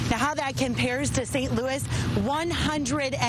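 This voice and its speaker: Noticeable background noise is present. Against it, a woman talks at a moderate pace. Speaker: television news reporter. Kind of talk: TV news reporter delivery.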